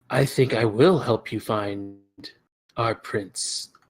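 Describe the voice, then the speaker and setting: Very slowly, a man delivers a put-on character voice. The sound is raspy. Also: medium pitch for a man. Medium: actual play. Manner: coy, evasive.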